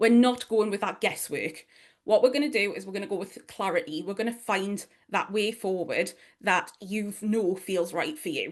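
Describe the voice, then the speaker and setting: In a strong Geordie accent, a woman speaks at a moderate pace with a medium pitch. Her tone is animated, with ordinary pitch variation. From northeast England, Newcastle. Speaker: online business strategist and mentor. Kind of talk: workshop presentation.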